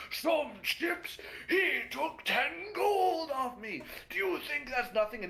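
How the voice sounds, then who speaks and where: A put-on character voice, pitched high and delivered at a very slow pace. Light background noise sits behind it. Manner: angry, complaining.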